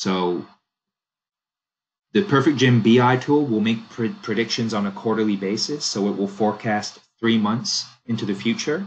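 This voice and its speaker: A man talks at a moderate pace and a medium pitch. He leaves long, frequent pauses. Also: ordinary pitch variation. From Canada. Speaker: software product demonstrator. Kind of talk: software demo walkthrough. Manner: casual, conversational.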